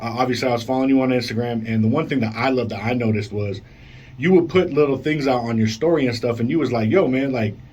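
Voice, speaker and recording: A man talks very fast in an animated tone at a medium pitch with ordinary pitch variation. Room echo is audible. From Colorado. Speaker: radio show host. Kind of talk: casual interview. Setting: radio studio.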